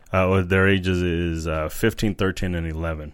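A man's very deep, low voice at a moderate pace, with an American accent. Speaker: podcast co-host. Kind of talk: casual chat. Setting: room recording without his own mic.

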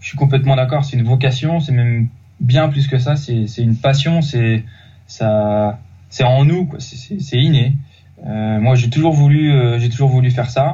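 A man's dark, mellow voice comes out somewhat breathy at a fairly slow pace. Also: medium pitch for a man, ordinary pitch variation. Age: 30s. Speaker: youth football coach. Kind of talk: interview. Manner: halting, many repetitions.

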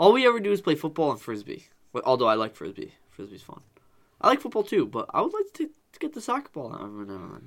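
Loudness swings widely as a man speaks at a very fast pace. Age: 20s. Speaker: podcast co-host. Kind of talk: casual chat.

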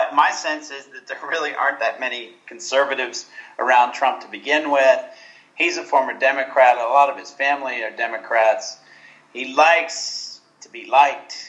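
Against noticeable background noise, a man with an American accent talks at a moderate pace and fairly high pitch. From Texas, Houston. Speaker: literature professor. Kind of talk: interview.

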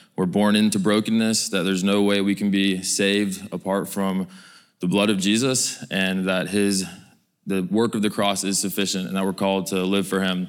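At a moderate pace, the speaker holds a monotone, flat intonation and very even loudness on a very clean recording with a silent background. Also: man, fairly low pitch for a man. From Georgia, US. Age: 20s. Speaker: prison ministry researcher. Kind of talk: testimony.

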